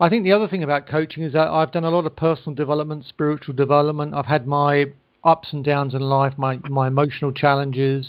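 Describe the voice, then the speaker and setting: Speaking very fast with a British accent, a man uses fairly even intonation at a fairly high pitch for a man. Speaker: life coach. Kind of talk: interview. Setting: phone call.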